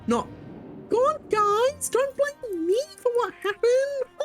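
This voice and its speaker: Over clear background music, a put-on character voice at an extremely high pitch moves at a fairly slow pace. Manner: dismissive, flippant.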